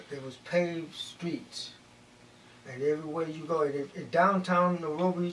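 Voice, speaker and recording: Over noticeable background noise, a man with a high pitch speaks at a moderate pace with fairly even intonation. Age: old. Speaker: community elder. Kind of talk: interview answer.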